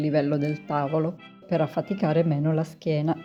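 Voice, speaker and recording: Music plays in the background as a woman speaks. Her pitch is fairly low and her pace moderate. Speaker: home cook and food blogger. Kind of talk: cooking video voice-over narration.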